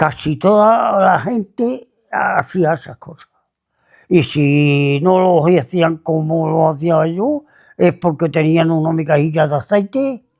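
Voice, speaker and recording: Speaking very slowly, a man uses a fairly high pitch. His pitch variation is ordinary. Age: 80s+. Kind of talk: interview answer, life story.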